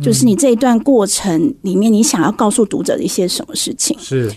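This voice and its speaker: A woman with a dark, mellow tone speaks with very wide pitch swings. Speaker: book editor. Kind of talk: radio interview. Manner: direct, frank.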